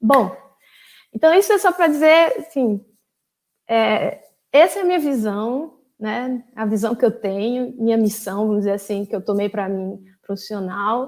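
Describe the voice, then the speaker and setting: A woman at fairly high pitch in a northeastern Brazilian accent, with lively intonation and a fairly slow pace. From Brazil, Paraíba (João Pessoa). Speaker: former graduate student, data governance specialist. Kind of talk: invited talk. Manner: hesitant, many fillers.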